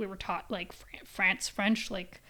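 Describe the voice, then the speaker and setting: A woman with a Canadian accent talks at a fairly slow pace. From English-speaking Canada. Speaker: podcast host. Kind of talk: casual solo podcast chat. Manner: low energy; halting, rambling with restarts.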